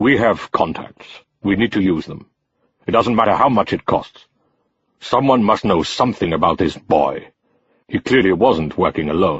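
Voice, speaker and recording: In a put-on character voice, a man growls at a fairly low pitch with lively intonation, a moderate pace, and long, frequent pauses. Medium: read story. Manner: menacing, imperious.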